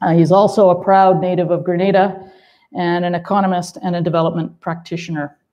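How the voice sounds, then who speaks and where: A woman with a fairly low voice talks at a moderate pace in a monotone, flat intonation. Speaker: panel moderator. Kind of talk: moderated panel discussion. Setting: panel with audience.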